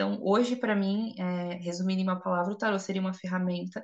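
Her medium pitch and fairly even intonation mark this woman's ordinary speaking voice. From Brazil, São Paulo. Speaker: podcast co-host, tarot reader and psychologist. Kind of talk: casual chat.

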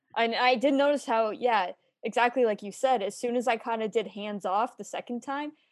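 Speaking at a fairly quick pace with a Canadian accent, a woman uses a high pitch and ordinary pitch variation over a quiet background. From Kitchener, Ontario, Canada. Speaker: podcast host. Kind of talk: casual interview.

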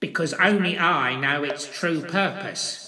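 A man puts on a squeaky character voice pitched high. He speaks at a fairly slow pace.

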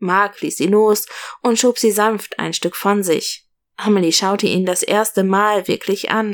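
Over a quiet background, the speaker is reading aloud in a natural voice with fairly even intonation.

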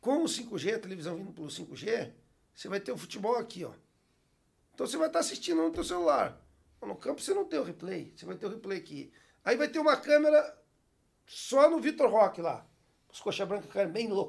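A man with a high pitch and a fairly quick pace, long, frequent pauses, very wide pitch swings and big swings in loudness. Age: 40s. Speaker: TV network executive and sport fisherman. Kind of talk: casual chat.

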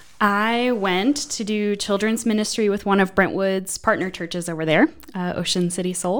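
Using a normal speaking voice, a woman talks at a moderate pace with ordinary pitch variation and hardly any pauses. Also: medium pitch for a woman. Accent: American. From northeastern Pennsylvania, US. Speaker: church administrative assistant. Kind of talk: casual interview chat.

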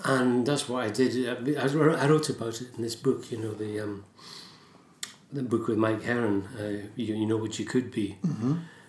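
A man with a Scottish accent speaks at a moderate pace, with audible room echo. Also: medium pitch for a man, fairly even intonation. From Scotland. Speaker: writer and poet. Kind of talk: casual interview chat.

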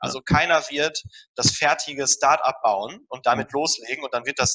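With an unremarkable speaking voice, a man talks at a moderate pace and fairly high pitch, his intonation fairly even and the sound dry and close with no echo. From Ruhr area, Germany (Dortmund). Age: 30s. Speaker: dentist and health startup founder. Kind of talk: interview. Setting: remote call.

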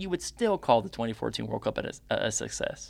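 A man with an American accent talks at a very fast pace with vocal fry and very wide pitch swings. The recording is very clean, with a silent background. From United States. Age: 20s. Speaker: podcast host. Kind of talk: solo sports commentary podcast. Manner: animated.

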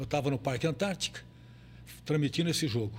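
Vocal fry runs through this man's voice. His intonation is lively. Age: 80s+. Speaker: veteran radio and sports broadcaster. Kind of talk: casual interview. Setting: studio, live video stream.

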